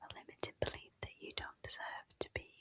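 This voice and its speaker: A woman whispers in a dry, close sound with no echo. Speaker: podcast host, coach. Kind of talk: whispered ASMR-style podcast conversation. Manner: whispered, soft, relaxing.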